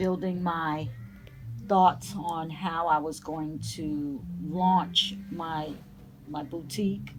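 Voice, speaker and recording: With music in the background and audible room echo, a woman with an American accent speaks very slowly at a fairly low pitch with fairly even intonation. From New Jersey. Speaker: vintage boutique owner. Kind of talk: interview. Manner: halting, many fillers.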